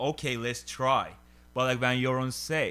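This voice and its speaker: A bright, sharp tone at a moderate pace, with a Turkish accent. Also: man. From Turkey. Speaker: stand-up comedian. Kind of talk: casual chat. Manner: halting, heavy filler words.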